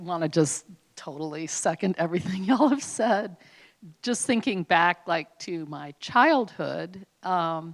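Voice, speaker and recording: Loudness swings a lot as a woman speaks very slowly at a fairly low pitch with lively intonation. The recording is very clean, with a silent background. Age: 60s. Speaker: historian. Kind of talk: panel discussion.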